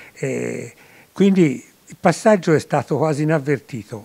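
With a dark, mellow tone, a man speaks at a fairly slow pace. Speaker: retired school principal and author; guest. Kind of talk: interview. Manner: halting. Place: shop. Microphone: handheld.

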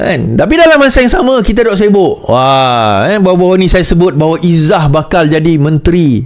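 Lively intonation at a medium tempo from a high-pitched male speaker. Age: 40s. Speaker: political commentator. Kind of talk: political commentary monologue.

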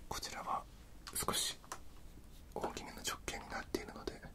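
Someone whispers at a moderate pace. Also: woman. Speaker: ASMR creator doing makeup roleplay. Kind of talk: ASMR makeup tutorial. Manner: whispered. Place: home room. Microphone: studio mic.

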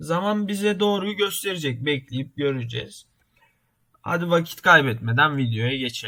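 Lively intonation marks a man's fairly high, bright, sharp voice at a fairly slow pace. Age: 20s. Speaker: YouTuber, computer engineering student. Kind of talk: tutorial. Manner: halting, many filler sounds.

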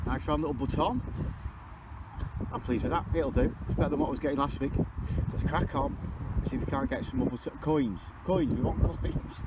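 A man talks at a fairly quick pace with loud background noise, the sound dry with no echo. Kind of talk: casual vlog chat. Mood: jokey, relaxed. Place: open country. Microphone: phone near.

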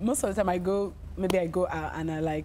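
A woman with a Nigerian accent over light background noise. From Nigeria, Delta State. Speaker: singer, talent show winner; talk show guest. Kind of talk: casual interview. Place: studio.

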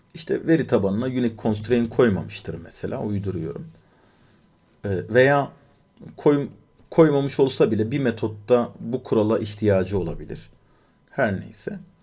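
A man at a medium pitch with lively intonation, a moderate pace, long, frequent pauses and audible room echo. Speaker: programming instructor. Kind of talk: live coding lecture. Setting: live stream. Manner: many filler sounds.

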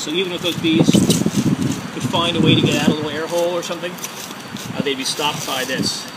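A man at a fairly high pitch and fairly quick pace, fairly even intonation, with clear background noise

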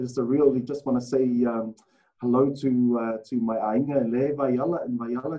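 Monotone, flat intonation from a man with a New Zealand accent, at a moderate pace against a quiet background. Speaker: former rugby player and rugby administrator; rugby coach guest. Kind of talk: casual interview. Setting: video call. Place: meeting room. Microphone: video call.

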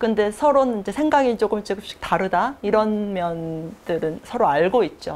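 Moving at a moderate pace with hardly any pauses, a woman speaks with lively intonation. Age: young. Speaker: doctoral student in women's studies; interviewee. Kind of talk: interview answers; interview answer. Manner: measured, with fillers. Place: studio. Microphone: lapel.

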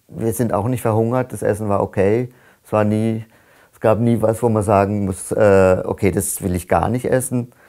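Against a quiet background, a man with a dark, mellow tone and fairly low pitch keeps fairly even intonation while his loudness swings widely. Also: moderate pace. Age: 60s. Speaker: climate activist. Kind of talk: testimony; interview answer. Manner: halting. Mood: calm, reflective. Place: home room.

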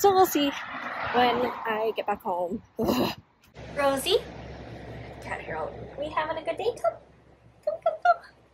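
Very wide pitch swings and long, frequent pauses mark this fairly slow delivery. Noticeable background noise sits under the voice. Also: woman, high pitch for a woman. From Honolulu, Hawaii. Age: 20s. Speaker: daily vlogger. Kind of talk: casual talk to camera.

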